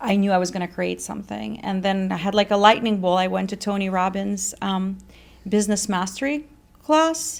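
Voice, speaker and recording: A woman speaks at a medium pitch with a slight Russian accent. Her pace is moderate and her pitch varies in an ordinary way. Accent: Russian, slight, well controlled. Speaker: fitness company founder. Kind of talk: interview.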